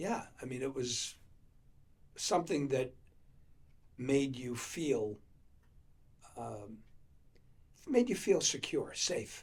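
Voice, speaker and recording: With a New England accent, a man speaks at a very slow pace and a medium pitch, somewhat breathy, with lively intonation, big swings in loudness, and long, frequent pauses. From Leominster, Massachusetts. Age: 70s. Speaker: former mayor. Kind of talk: oral history interview. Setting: library. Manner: halting.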